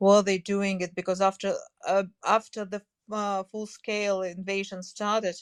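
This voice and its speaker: This woman speaks with a Russian accent at a moderate pace and medium pitch. Her intonation is monotone and flat, and the sound is dry and close with no echo. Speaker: language teacher. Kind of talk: casual interview. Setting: online audio room. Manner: halting, many fillers.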